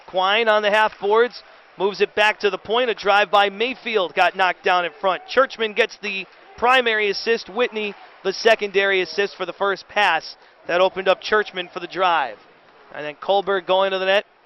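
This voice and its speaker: A man with a high voice speaks at a moderate pace with fairly even intonation. Noticeable background noise runs under the recording. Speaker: hockey radio play-by-play announcer. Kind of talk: live sports radio play-by-play call. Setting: radio broadcast of a professional hockey game.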